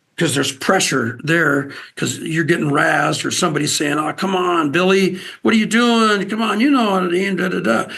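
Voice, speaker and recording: Through audible room echo, a man with an American accent speaks fairly quickly at a high pitch, with a bright, sharp tone and lively intonation. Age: 60s. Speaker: outdoors TV host and wildlife agency spokesman. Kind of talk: casual interview.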